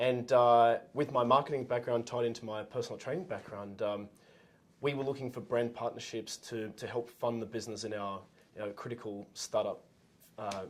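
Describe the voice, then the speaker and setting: A man with an Australian accent speaks with fairly even intonation. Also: medium pitch for a man, moderate pace. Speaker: entrepreneur, former gym owner. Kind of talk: casual interview. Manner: halting, many fillers.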